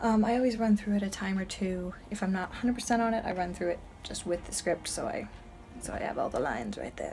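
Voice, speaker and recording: The voice is quiet and the pace very fast. Pitch varies in an ordinary way. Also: woman, medium pitch for a woman. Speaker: fan video creator and actor. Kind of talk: casual vlog. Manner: hesitant, filler-heavy.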